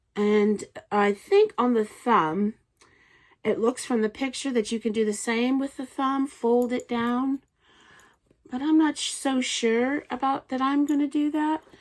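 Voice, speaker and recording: On a very clean recording with a silent background, a woman speaks at a high pitch and a fairly slow pace. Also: ordinary pitch variation. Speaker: knitting podcaster. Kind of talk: casual show-and-tell vlog. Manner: halting, with fillers.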